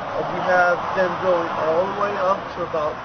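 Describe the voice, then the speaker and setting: The background noise is loud throughout. A man keeps to a moderate pace as he speaks. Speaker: tree farm seller. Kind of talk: product walkthrough. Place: open country.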